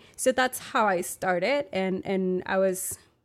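On a very clean recording with a silent background, a woman with a Spanish accent speaks at a medium pitch. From Monterrey, Mexico. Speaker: arts organizer. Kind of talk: interview. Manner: hesitant, many fillers.

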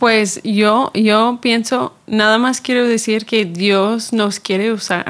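In an English accent, a woman speaks very slowly at a fairly high pitch with fairly even intonation. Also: very even loudness. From Chicago, US. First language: English (speaking Spanish). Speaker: church ministry worker. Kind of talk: casual chat.

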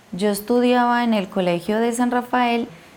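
A woman in an Antioquian accent, fairly high-pitched, at a fairly slow pace. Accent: Colombian paisa (Antioquia). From Colombia, eastern Antioquia. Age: 30s. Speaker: beekeeper, conflict survivor. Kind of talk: interview testimony.

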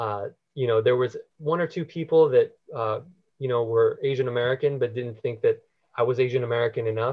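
Somewhat breathy, a man talks at a fairly quick pace with a medium pitch and fairly even intonation. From US, partly raised in the Philippines. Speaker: spiritual seeker sharing life story. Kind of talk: podcast interview.

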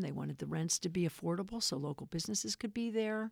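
A woman speaks at a fairly quick pace and a fairly low pitch in a normal speaking voice. The sound is dry and close, with no echo. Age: 60s. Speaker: real estate developer and activist. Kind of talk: casual interview.

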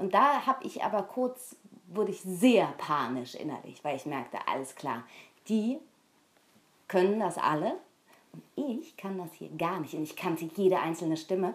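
A woman's voice with very wide pitch swings, big swings in loudness, and long, frequent pauses. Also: moderate pace. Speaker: voice actress and radio station voice. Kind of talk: casual chat.

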